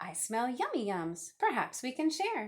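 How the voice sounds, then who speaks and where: A woman's put-on character voice, high-pitched, with very wide pitch swings, at a moderate pace. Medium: read story.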